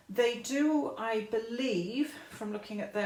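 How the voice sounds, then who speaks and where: At a very slow pace, a woman with fairly high pitch and ordinary pitch variation speaks amid audible room echo and noticeable background noise. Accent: English. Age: 60s. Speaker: YouTuber. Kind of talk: casual vlog. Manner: loud.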